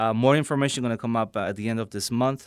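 Fairly even intonation from a man with a fairly low pitch and a Polish accent, on a very clean recording with a silent background. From Poland. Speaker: priest. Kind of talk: radio interview. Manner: halting.

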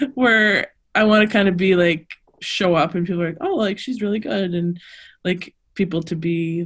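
With a plain, everyday voice, a woman speaks at a fairly low pitch with fairly even intonation. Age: 30s. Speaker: weightlifter and former college thrower. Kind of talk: casual interview chat.

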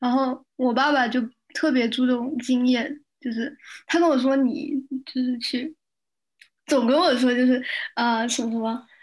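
The woman's voice is high in pitch, with ordinary pitch variation. She speaks at a fairly slow pace. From China, Shenzhen. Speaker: religious studies student. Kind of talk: casual chat.

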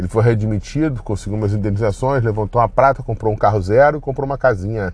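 A man speaks in a fairly low, somewhat breathy voice with ordinary pitch variation. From Brazil. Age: middle-aged. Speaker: podcaster. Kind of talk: personal monologue. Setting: in a car. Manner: casual, rambling with fillers.

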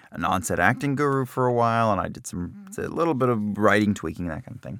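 An ordinary speaking voice from a man with an American accent, lively intonation and a fairly quick pace. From New Jersey. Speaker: voiceover actor and director, podcast host. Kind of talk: casual chat, comedic banter. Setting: studio. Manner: joking, playful.

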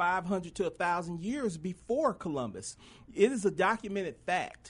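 This is a man speaking at a high pitch. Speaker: fill-in radio host. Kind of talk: casual radio talk show. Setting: studio. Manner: animated, joking.

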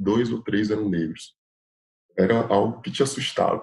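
The pace is moderate. Pitch variation is ordinary. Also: man. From Piauí, northeast Brazil. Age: 20s. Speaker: public attorney. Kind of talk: casual chat.

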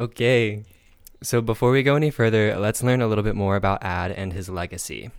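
A man with an American accent, ordinary pitch variation, and a fairly quick pace, on a very clean recording with a silent background. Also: fairly low pitch for a man. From South Carolina. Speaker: true crime podcast host. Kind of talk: casual storytelling chat.

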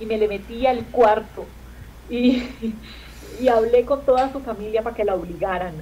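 A woman speaks at a moderate pace with a fairly high pitch and fairly even intonation. Noticeable background noise runs under her voice. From Colombia. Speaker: comedian. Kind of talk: casual chat.

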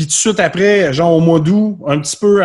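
A man at a moderate pace, somewhat breathy. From Quebec, South Shore of Montreal. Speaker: musician. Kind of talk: casual chat. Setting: video call.

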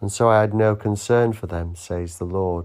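A man with an unremarkable speaking voice talks at a moderate pace in a fairly low pitch, his intonation fairly even. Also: very clean recording, silent background. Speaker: church service leader. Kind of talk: morning prayer service, liturgical reading and fervent prayer. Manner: solemn, measured, reverent; fervent, heartfelt, devotional.

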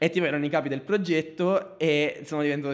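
With ordinary pitch variation, a man speaks on a very clean recording where the background is silent. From southern Italy, Basilicata (Marconia). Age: 20s. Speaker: video producer. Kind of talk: casual interview.

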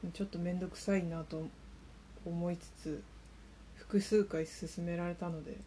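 A woman mumbles and whispers quietly, somewhat breathy, at a fairly slow pace with big swings in loudness and long, frequent pauses. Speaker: solo podcaster. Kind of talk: casual monologue. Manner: mumbling, whispery and quiet; subdued, not bright or crisp.

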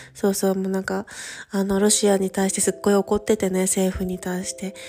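Fairly quick speech from a woman at medium pitch, over noticeable background noise. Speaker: podcast host, study-abroad coordinator. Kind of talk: casual monologue. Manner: animated.

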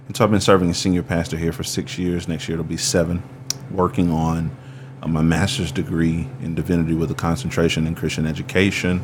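A man's very deep, low voice at a very fast pace, with ordinary pitch variation over noticeable background noise. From US South, rural Alabama. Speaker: pastor. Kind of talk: interview.

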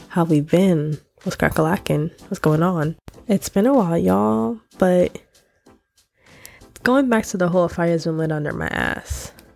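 A woman with an American accent speaks at a fairly slow pace and a fairly low pitch, with ordinary pitch variation. Her voice is nasal and slightly mellow in tone, with vocal fry.

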